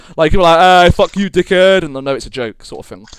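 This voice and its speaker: A high-pitched man speaks with an American accent. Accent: mild British, slightly American. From Britain. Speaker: gaming podcast co-host. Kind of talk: casual chat.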